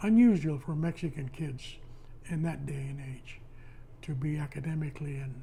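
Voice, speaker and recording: A man with a fairly high pitch and a dark, mellow, somewhat breathy tone speaks at a moderate pace, his pitch varying in an ordinary way and his loudness swinging widely. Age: 80s+. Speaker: retired postal worker. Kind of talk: oral history interview. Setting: at home.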